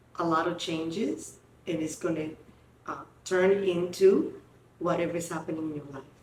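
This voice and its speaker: In a room with audible echo, a woman with a fairly low pitch speaks at a moderate pace with fairly even intonation. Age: 60s. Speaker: podcast host. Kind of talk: casual chat.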